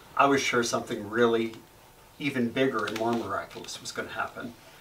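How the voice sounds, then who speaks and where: Flat, monotone speech comes at a moderate pace over noticeable background noise. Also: man. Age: 60s. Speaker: Zen meditation teacher. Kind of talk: dharma talk. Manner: halting, with fillers; gentle.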